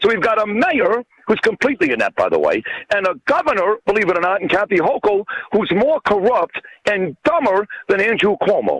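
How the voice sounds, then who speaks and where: With a New York accent, a man talks at a fairly quick pace and high pitch, with lively intonation, very even loudness and a dry, close sound with no echo. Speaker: radio host and author. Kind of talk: interview.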